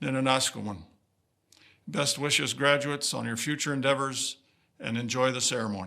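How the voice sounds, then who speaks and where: Bright and sharp in tone, a man at medium pitch speaks at a fairly quick pace with fairly even intonation but takes long, frequent pauses. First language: Woodland Cree. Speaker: vice-regal dignitary. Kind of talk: ceremonial speech. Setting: convocation ceremony with audience. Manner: formal.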